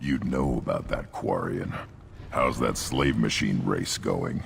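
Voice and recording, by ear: A man puts on a character voice with extremely low pitch, vocal fry and ordinary pitch variation. He talks at a slow pace over faint background noise.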